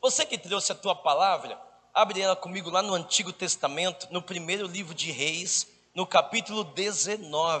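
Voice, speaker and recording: A man with a high pitch, a raised, projected voice and an animated tone at a moderate pace. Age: 40s. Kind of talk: charismatic sermon. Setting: stage with audience.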